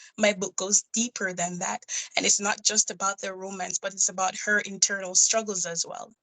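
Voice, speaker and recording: A woman speaks with a Jamaican accent at a moderate pace. Her medium pitch stays in a flat monotone. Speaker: nurse and indie author. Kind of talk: interview.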